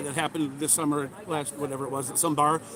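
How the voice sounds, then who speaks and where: Spoken at a very fast pace in an animated tone, with noticeable background noise behind it. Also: man. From Minnesota (Edina). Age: 60s. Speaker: political candidate. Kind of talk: street interview.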